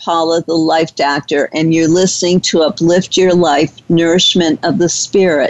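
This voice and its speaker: A woman with a normal speaking voice, fairly low in pitch, with fairly even intonation. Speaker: radio host. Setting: radio studio, internet talk radio.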